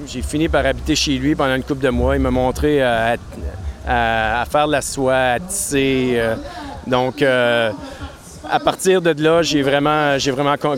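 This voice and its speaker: Over noticeable background noise, a man talks at a very slow pace in a medium pitch with ordinary pitch variation. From Quebec, Outaouais region (Maniwaki). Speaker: brewery owner and brewer. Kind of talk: casual interview. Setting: beer festival with DJ music.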